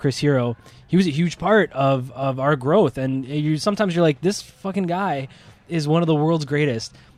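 An unremarkable speaking voice from a man with a Canadian accent, fairly high in pitch, at a moderate pace, with ordinary pitch variation. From Ontario, Canada. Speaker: wrestling promoter. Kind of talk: casual chat.

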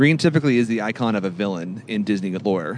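Speaking at a fairly quick pace, a man with an American accent and medium pitch uses an unremarkable speaking voice. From California. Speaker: podcast co-host. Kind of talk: casual chat.

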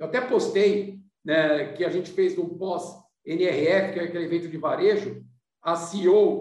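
With audible room echo, a man talks in a high pitch. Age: 50s. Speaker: business consultant and company founder. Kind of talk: podcast interview.

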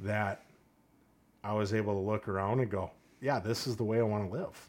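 On a very clean recording with a silent background, a man talks at a moderate pace, his fairly low voice flat and monotone. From Saint Paul, Minnesota. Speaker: police officer. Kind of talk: casual interview conversation.

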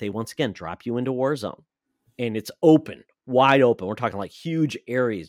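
Speaking in a plain, everyday voice with an American accent, a man talks at medium pitch with ordinary pitch variation, in a dry, close sound with no echo and a very clean recording with a silent background. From Michigan. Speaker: video game podcast host. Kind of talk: casual chat.

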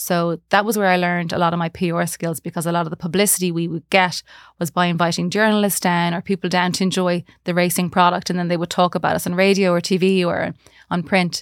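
In a western Irish accent, the speaker goes at a very fast pace in a flat monotone, captured in a very clean recording with a silent background and a dry, close sound with no echo. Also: woman. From Galway, western Ireland. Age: 40s. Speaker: marketing manager. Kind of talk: interview.

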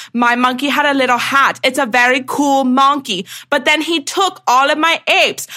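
A woman speaks at a moderate pace in a raised, projected, high voice. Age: 20s. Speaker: podcast co-host. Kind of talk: casual chat.

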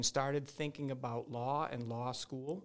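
On a very clean recording with a silent background, a man with an American accent has an unremarkable speaking voice at a medium pitch, a fairly slow pace and ordinary pitch variation. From Massachusetts, central. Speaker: real estate lawyer. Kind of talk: interview.

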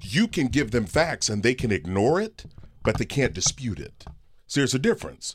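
Very wide pitch swings and vocal fry mark a man speaking at a moderate pace. The recording is very clean, with a silent background. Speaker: personal finance expert and author. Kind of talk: casual chat. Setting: studio. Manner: energetic.

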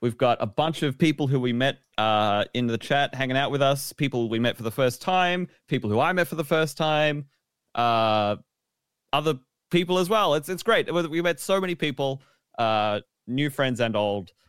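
In a very clean recording with a silent background, a man with an Australian accent speaks at a moderate pace, his fairly high pitch carrying lively intonation. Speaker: podcast host. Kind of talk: casual chat.

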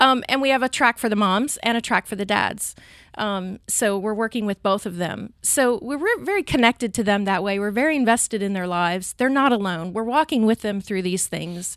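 In a plain, everyday voice, a woman speaks at a fairly quick pace with hardly any pauses, a fairly high pitch and ordinary pitch variation. The sound is dry and close with no echo, on a very clean recording with a silent background. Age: 40s. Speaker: pregnancy center coordinator. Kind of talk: interview.

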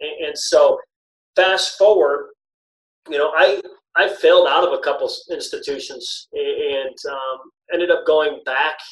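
A man with an American accent talks at a fairly slow pace, leaving long, frequent pauses. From Michigan, US. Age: 30s. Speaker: former basketball coach. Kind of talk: podcast interview.

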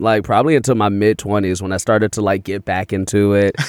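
With an American accent, a man with an unremarkable speaking voice talks fairly quickly at a fairly low pitch. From Chicago. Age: 30s. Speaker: comedian. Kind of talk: casual chat.

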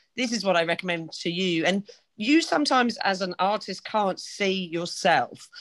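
A woman's plain, everyday voice at a medium pitch, with lively intonation and a moderate pace, against a quiet background. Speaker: podcast co-host. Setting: video call.

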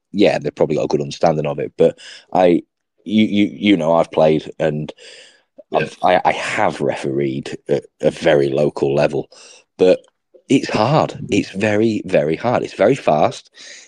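The recording is dry and close, with no echo. A man talks in it at a moderate pace. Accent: English. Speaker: sports podcast host. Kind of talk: casual chat.

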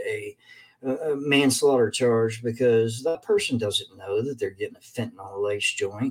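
In a Kentucky accent, a man speaks at a moderate pace. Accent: Kentucky Southern US. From Kentucky, Lexington. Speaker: addiction recovery speaker. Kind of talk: casual talk to online viewers. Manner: halting with fillers.

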